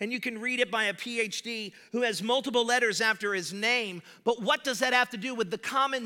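A man with an extremely high pitch speaks in a raised, projected voice. His tone is animated and his pace fairly quick. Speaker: pastor. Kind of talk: sermon. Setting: church. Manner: loud.

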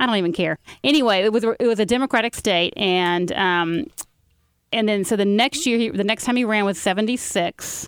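A woman speaks at a fairly quick clip with a Southern US accent. Her loudness stays very even, and the recording is very clean with a silent background. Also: ordinary pitch variation. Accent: Southern US (Georgia). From Carrollton, Georgia. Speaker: author. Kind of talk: casual political chat.

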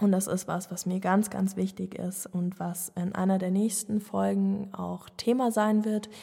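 At a fairly slow pace with hardly any pauses, a woman speaks in a medium pitch with a dark, mellow tone, somewhat breathy and in a monotone, flat intonation. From Germany, Munich (Bavaria). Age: 20s. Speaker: podcast host. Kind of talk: solo monologue, casual personal talk. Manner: hesitant, many filler sounds.

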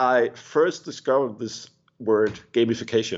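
A man with a Danish accent, medium pitch and a fairly slow pace. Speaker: pastor. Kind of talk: interview. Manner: halting, many repetitions.

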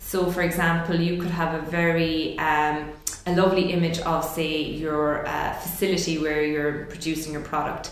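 In an Irish accent, a woman speaks at a fairly low pitch with monotone, flat intonation and a moderate pace. Background noise is noticeable. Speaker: food business development officer. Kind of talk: interview.

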